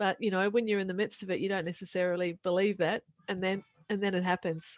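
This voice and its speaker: A woman with a New Zealand accent at a medium pitch, very fast in pace and monotone, flat in intonation. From New Zealand, rural. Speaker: author and podcaster. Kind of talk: interview.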